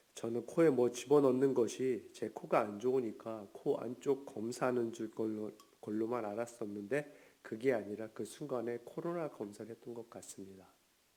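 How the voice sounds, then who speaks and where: This man's voice sits at a medium pitch, with a dark, mellow tone. He talks with hardly any pauses. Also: ordinary pitch variation, moderate pace. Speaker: pastor. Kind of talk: lecture.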